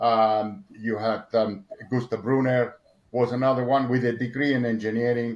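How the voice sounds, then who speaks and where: A man with a Spanish accent talks at a moderate pace and a medium pitch. His intonation stays fairly even. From Argentina. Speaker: motorsport engineer. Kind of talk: interview. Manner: halting, many repetitions and fillers.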